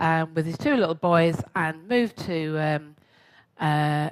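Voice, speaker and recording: This woman's voice is very deep and low, and she speaks at a fairly slow pace. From London and Essex, England. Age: 60s. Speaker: artist and writer giving a talk. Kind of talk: talk to a club audience. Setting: hall with live audience. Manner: chatty, with hesitations.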